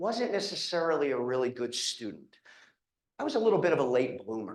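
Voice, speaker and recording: Very wide pitch swings mark this man's speech, which carries a slight Philadelphia accent. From Philadelphia, Pennsylvania. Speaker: physical therapy professor and program director. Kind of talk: informational presentation to prospective students. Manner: casual, conversational with frequent fillers.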